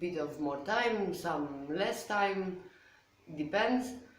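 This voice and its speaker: Noticeable background noise and audible room echo fill the recording. A woman with a Polish accent speaks at a fairly low pitch. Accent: Polish accent, said to sound Russian. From Poland. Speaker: watercolor artist and video creator. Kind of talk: casual tutorial to camera. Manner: hesitant, many fillers.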